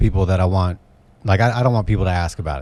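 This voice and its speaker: A man is talking. Nothing much is heard behind him. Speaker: comedian. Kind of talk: casual chat. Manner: monotone.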